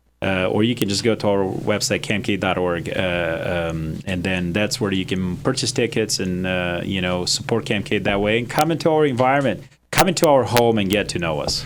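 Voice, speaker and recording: Against noticeable background noise, a man speaks at a moderate pace with hardly any pauses. His pitch is fairly low and his intonation lively. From Romania, Transylvania. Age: 40s. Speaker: nonprofit director. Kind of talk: interview. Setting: studio.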